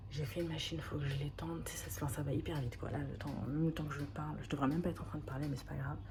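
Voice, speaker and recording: Soft-spoken, a woman talks at a very fast pace with hardly any pauses, amid noticeable background noise and audible room echo. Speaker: vlogger, mother starting a business. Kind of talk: casual vlog monologue. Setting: at home. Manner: halting.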